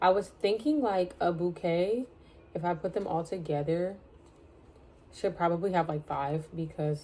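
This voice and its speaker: A woman is whispering. Her pace is moderate. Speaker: crochet vlogger. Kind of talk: casual vlog talk. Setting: home, at a desk in her bedroom.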